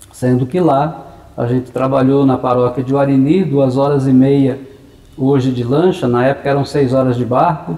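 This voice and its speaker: A plain, everyday voice at a moderate pace. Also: man. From Brazil, interior of São Paulo state (Maracaí/Assis area). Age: 60s. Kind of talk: interview. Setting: parish church premises.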